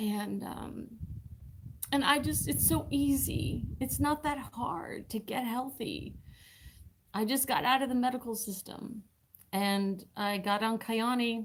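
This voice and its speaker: At a very slow pace, a fairly high-pitched woman speaks somewhat breathily with ordinary pitch variation and long, frequent pauses. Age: 60s. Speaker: full-time RVer and wellness product seller. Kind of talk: live stream chat. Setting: live stream.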